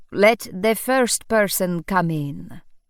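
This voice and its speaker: A husky, middle-pitched put-on character voice sits on a very clean recording with a silent background. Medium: read story. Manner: booming, grandiose.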